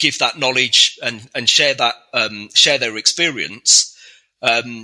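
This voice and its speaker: A man with a southern English accent, bright and sharp in tone, at a moderate pace. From England (Reading). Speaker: software architect. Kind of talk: interview. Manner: hesitant, many fillers.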